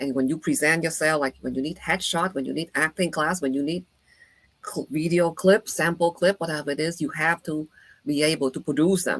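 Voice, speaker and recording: Her pitch very deep and low, a woman with a Vietnamese accent talks at a fairly quick pace with fairly even intonation in a dry, close sound with no echo. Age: 50s. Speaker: actor and psychologist. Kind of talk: interview conversation. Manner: halting.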